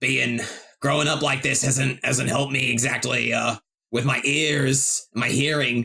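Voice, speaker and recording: A man uses a put-on character voice that is raspy and medium in pitch, keeping fairly even intonation, very even loudness and a moderate pace. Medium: actual play. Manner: hesitant, halting.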